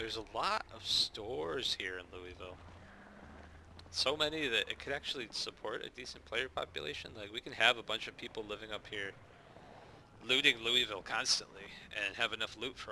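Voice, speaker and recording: The speaker talks at a fairly quick pace with an American accent and a bright, sharp tone. Loudness swings widely while pitch varies in an ordinary way. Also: man. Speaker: gaming YouTuber, server admin. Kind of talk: gameplay commentary. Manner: casual.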